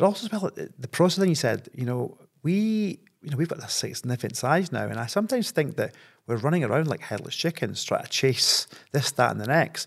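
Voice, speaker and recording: Very wide pitch swings mark this man's fairly quick speech, delivered in a Scottish accent. The recording is very clean, with a silent background. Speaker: property investor. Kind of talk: podcast interview. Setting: studio.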